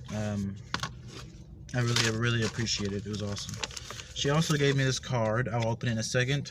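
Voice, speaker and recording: A man with a medium-pitched voice talks at a very fast pace with fairly even intonation, leaving long, frequent pauses, while noticeable background noise runs underneath. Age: 20s. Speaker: gamer and spiritual vlogger. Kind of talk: casual vlog talk to camera.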